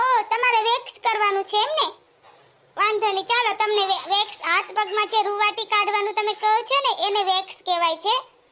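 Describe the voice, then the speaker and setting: At a moderate pace, a cartoonish character voice that sounds female comes out squeaky and at an extremely high pitch. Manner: polite, standard speech.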